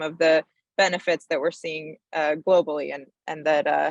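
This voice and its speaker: In an unremarkable speaking voice, a woman talks at a moderate pace with fairly even intonation and a dry, close sound with no echo. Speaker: energy policy advocate. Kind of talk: panel presentation.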